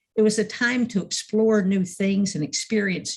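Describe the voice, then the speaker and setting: This woman's voice sits at a medium pitch. It is somewhat breathy. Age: 70s. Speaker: minister. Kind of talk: sermon.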